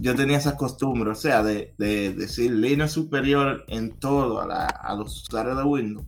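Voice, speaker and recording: A man at a medium pitch and a fairly slow pace, with fairly even intonation and hardly any pauses, amid noticeable background noise. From Dominican Republic. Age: 20s. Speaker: software quality analyst. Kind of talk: interview.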